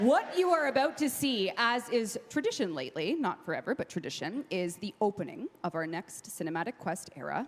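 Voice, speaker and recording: Over noticeable background noise, a woman speaks at a moderate pace. Her fairly high pitch moves in very wide swings. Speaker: game developer presenting at a convention. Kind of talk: live stage presentation.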